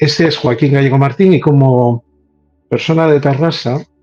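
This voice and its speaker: A man talks at a moderate pace and ordinary pitch variation while music plays in the background. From Spain, Catalonia (Terrassa). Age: 60s. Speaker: paranormal researcher. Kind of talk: casual chat.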